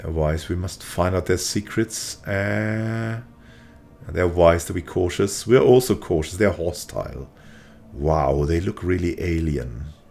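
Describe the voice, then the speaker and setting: A man speaks at a fairly slow pace in a very deep, low voice with a relaxed tone and lively intonation. Music plays in the background. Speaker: gaming video creator. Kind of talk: let's play commentary. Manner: casual, relaxed.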